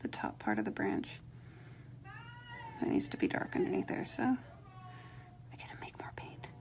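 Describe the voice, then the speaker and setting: A woman's fairly slow delivery comes through over noticeable background noise. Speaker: rock painting instructor. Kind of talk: live painting tutorial. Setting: live stream. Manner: mumbling, quieter than usual; casual, chatty.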